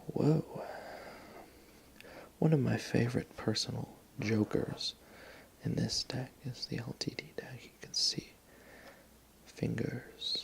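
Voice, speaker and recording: Someone whispers in a relaxed tone at a very slow pace. Long, frequent pauses break it up, and the loudness swings a lot. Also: man. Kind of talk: softly spoken ASMR talk about a playing card collection. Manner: soft-spoken, relaxed.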